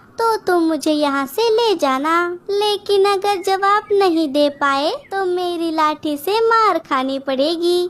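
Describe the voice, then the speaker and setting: Using a cartoonish character voice at an extremely high pitch, a woman talks at a fairly slow pace with hardly any pauses. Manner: sly, bossy.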